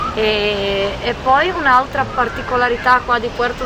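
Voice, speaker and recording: A woman's high-pitched voice with ordinary pitch variation, over noticeable background noise. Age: 40s. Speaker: real estate agent and expat. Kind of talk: casual interview conversation. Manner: hesitant, repeats words.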